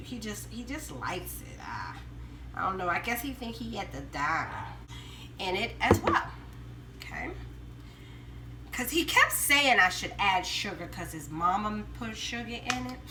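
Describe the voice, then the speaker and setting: A woman speaks at a moderate pace with big swings in loudness, amid noticeable background noise and audible room echo. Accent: Southern US. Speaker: home cooking vlogger. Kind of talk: cooking tutorial. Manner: casual, chatty.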